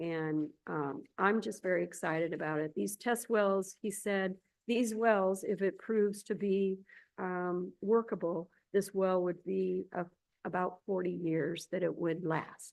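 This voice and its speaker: Against a quiet background, a woman with a plain, everyday voice talks fairly slowly at a medium pitch with fairly even intonation. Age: 60s. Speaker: state agency director. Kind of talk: public board meeting report.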